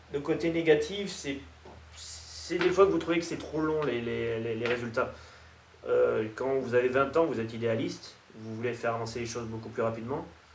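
Light background noise and audible room echo surround a man whose intonation is lively and whose pace is moderate. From France. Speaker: nutrition expert. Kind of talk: interview monologue. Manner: hesitant with repetitions. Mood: calm, reflective. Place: meeting room.

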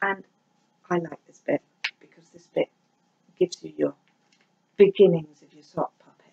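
Her loudness swings widely as the woman speaks at a moderate pace. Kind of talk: tutorial. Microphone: camera far.

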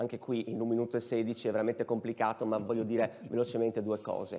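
The voice belongs to a man. He talks very quickly. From Udine, Friuli; Friuli. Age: 40s. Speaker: mayoral candidate; candidate. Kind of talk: political debate. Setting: stage with audience. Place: stage. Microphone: lapel.

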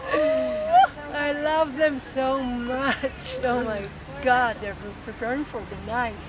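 The speech moves at a very slow pace with ordinary pitch variation over noticeable background noise. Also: woman, high pitch for a woman, dry sound with no echo. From Israel. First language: Hebrew. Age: 60s. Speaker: rebirthing teacher and activist; rebirthing teacher. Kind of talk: interview. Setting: outdoors. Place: garden.

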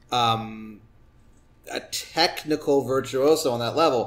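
Ordinary pitch variation in a man's voice, a normal speaking voice. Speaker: comedian. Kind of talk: casual chat.

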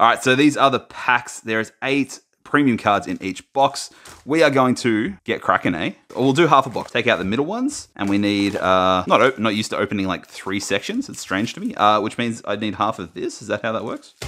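Bright and sharp in tone, a man talks at a fairly quick pace with ordinary pitch variation. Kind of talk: casual unboxing commentary. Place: home room.

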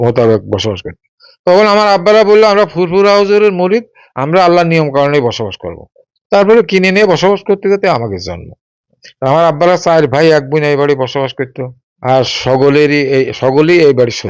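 His voice sits fairly high for a man. The man's intonation moves in a lively way. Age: 60s. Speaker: owner of a historic mansion. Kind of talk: interview.

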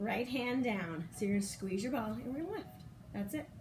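A woman speaks. There is noticeable background noise behind her. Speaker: fitness instructor. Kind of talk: workout class instruction. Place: home room. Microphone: camera far.

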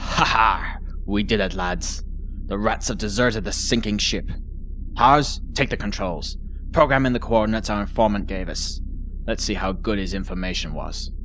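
Someone performs a cackling, put-on character voice at a moderate pace, with clear background noise. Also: man. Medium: audio drama. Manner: gloating, boastful, cackling.

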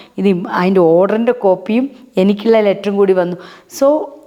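The speaker is a woman. Noticeable background noise runs under her voice. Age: 50s. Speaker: social worker. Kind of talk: interview.

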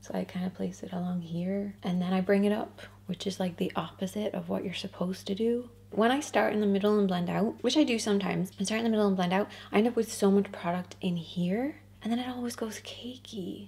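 Her intonation fairly even, a woman speaks at a fairly quick pace. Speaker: beauty vlogger. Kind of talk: casual makeup tutorial chat. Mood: relaxed, chatty, amused. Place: home room.

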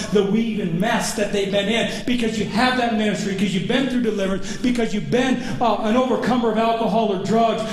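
With hardly any pauses, a man with a high voice speaks in a monotone, flat delivery at a fairly quick pace, with light background noise and audible room echo. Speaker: pastor. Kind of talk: sermon. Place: church. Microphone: camera far.

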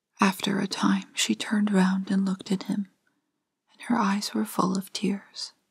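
The tone is gentle and soft-spoken. The pace is moderate. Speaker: storyteller reading aloud. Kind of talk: story reading. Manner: soft, gentle bedtime reading voice.

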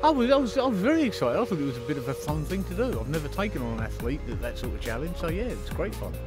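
A man's voice, dry with no echo, over clear music in the background. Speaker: record-holding fast talker. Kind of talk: interview answer. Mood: cheerful, upbeat. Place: waterside. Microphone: lapel.

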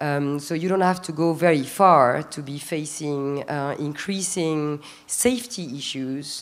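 With a very deep, low pitch, a woman speaks at a fairly slow pace with hardly any pauses. Her loudness swings widely while her pitch variation stays ordinary. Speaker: business executive and human rights advocate; panelist. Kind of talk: panel discussion. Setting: stage with audience. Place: stage. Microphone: handheld.

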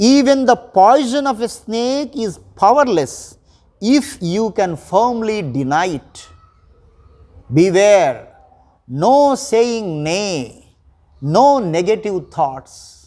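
This man has a high pitch with very wide pitch swings. His tone is dark and mellow. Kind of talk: motivational pep talk reading Vivekananda's quotes in English and Telugu. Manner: forceful, rousing, declamatory, repeating key words for emphasis.

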